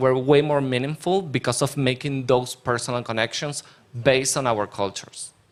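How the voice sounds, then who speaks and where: A man with a Spanish accent and fairly even intonation. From Argentina. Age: 20s. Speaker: panel speaker on education programs. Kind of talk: panel discussion.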